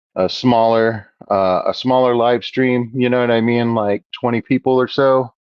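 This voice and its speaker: The man's voice sits at a medium pitch. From Texas (Houston). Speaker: aquarium hobbyist live streamer. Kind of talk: casual live stream chat. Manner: loud; casual, filler-heavy.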